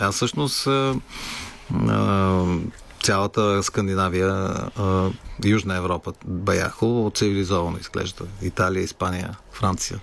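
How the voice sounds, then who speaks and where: Over noticeable background noise, a man with a very deep, low pitch speaks at a fairly slow pace with ordinary pitch variation, very even loudness, and long, frequent pauses. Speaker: rock musician. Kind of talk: radio interview.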